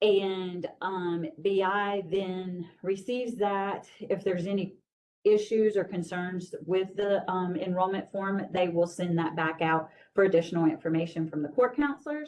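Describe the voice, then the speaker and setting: A woman has a normal speaking voice at a medium pitch. She talks at a fairly slow pace with ordinary pitch variation. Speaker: juvenile justice program staff presenter. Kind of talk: training presentation.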